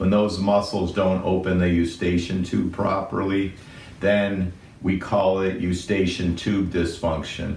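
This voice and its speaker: Noticeable background noise and audible room echo surround a man whose very deep, low voice stays monotone and flat. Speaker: physician. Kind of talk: medical explainer. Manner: loud.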